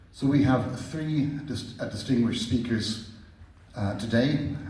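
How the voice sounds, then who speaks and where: A man speaks at a moderate pace with fairly even intonation, over noticeable background noise and audible room echo. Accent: Irish. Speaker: event moderator. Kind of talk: formal event introduction. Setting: stage with audience. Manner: formal.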